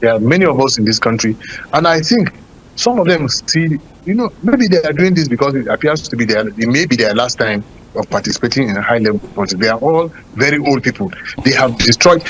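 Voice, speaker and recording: Noticeable background noise sits behind a man with a fairly high pitch. He talks at a fairly quick pace with lively intonation. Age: 60s. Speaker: politician. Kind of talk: political talk show discussion.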